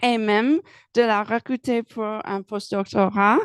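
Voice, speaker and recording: A woman with a fairly high voice speaks very slowly, recorded with a dry, close sound and no echo. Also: quiet background. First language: English (speaking French). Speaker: research supervisor. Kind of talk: prepared speech.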